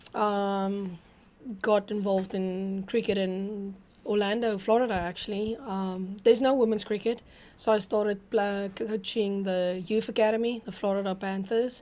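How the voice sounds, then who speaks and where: A woman with a South African accent, medium in pitch and dark, mellow in tone, at a moderate pace with monotone, flat intonation. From South Africa, Pretoria. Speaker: women's cricket captain and youth coach. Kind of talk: casual interview. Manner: hesitant, many ums.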